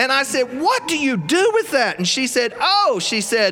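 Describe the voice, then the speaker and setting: Over noticeable background noise, a man with a South Carolina accent speaks at a moderate pace in an animated tone. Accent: US Southern (South Carolina). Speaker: storyteller. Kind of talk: live storytelling performance. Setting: studio with live audience.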